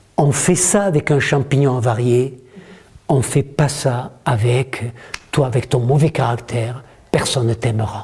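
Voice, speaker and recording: A man's medium-pitched voice at a fairly slow pace, with very even loudness, ordinary pitch variation, long, frequent pauses and noticeable background noise. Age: 70s. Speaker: author and communication trainer. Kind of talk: workshop talk to an audience. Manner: animated.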